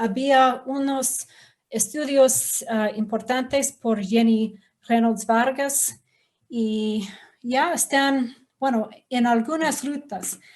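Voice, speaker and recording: A woman speaks at a very slow pace with a non-native accent. Her voice is high-pitched, and her intonation stays fairly even. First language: English (speaking Spanish). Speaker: professor. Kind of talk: lecture. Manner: halting.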